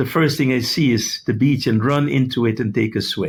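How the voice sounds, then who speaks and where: At a moderate tempo, a man talks in a somewhat breathy voice with ordinary pitch movement. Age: 70s. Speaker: medical doctor and healing speaker. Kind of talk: interview.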